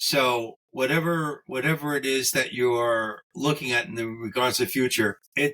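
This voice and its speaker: Speaking with hardly any pauses, a man with a medium pitch has a bright, sharp tone and ordinary pitch variation. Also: moderate pace. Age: 70s. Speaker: game designer. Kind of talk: casual chat.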